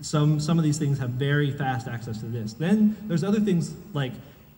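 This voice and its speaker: A man's dark, mellow, somewhat breathy voice with audible room echo. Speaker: conference speaker, software engineer. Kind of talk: conference talk.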